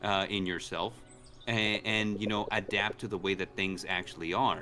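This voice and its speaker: Fairly low-pitched man's voice at a moderate pace, with music in the background. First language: Spanish. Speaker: gaming streamer. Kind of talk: casual chat. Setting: live stream with co-hosts.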